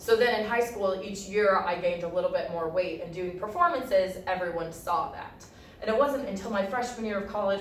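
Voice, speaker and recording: Over noticeable background noise and audible room echo, a woman talks at a medium pitch with ordinary pitch variation. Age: 20s. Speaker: college student practicing a speech. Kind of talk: speech rehearsal. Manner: fast; articulate. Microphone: poor audio.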